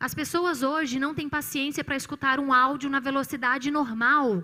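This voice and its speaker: A woman's raised, projected voice, high-pitched and bright and sharp in tone, with ordinary pitch variation at a moderate pace. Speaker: psychologist. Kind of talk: church talk on mental health.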